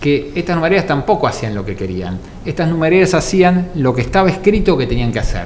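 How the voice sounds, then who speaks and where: Over noticeable background noise and audible room echo, a man talks at a very fast pace in a fairly high voice with lively intonation. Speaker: co-host of talk show. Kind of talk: studio talk show discussion.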